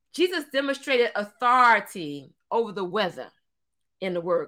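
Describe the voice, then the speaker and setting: In an animated tone, a woman speaks at a fairly high pitch with very wide pitch swings. Her pace is moderate, and the recording is very clean with a silent background. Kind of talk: sermon. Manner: animated, fervent, call-and-response preaching with frequent Hallelujah and Amen; lively, rhythmic, exhorting the congregation.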